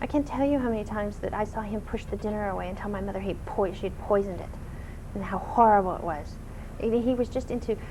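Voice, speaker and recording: A woman talks at a very fast pace with a fairly high pitch and ordinary pitch variation. Noticeable background noise and audible room echo fill the recording. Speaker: talk show guest. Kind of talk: interview. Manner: loud.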